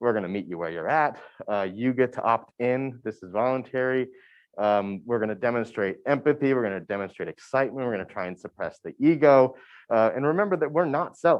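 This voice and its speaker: This man talks at a medium pitch and a fairly quick pace. His intonation is lively. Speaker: university admissions staff. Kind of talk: workshop presentation. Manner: fast.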